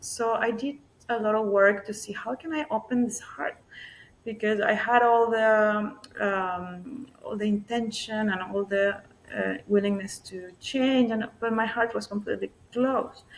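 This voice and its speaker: A woman with a fairly high pitch, fairly even intonation, and a fairly slow pace. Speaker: somatic healing practitioner. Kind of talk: interview conversation. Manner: soft-spoken.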